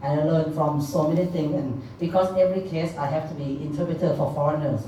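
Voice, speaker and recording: With audible room echo and noticeable background noise, a woman speaks in a very deep, low pitch with fairly even intonation. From Thailand. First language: Thai. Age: middle-aged. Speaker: legal interpreter and helpline founder. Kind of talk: speech. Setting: stage with audience. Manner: loud.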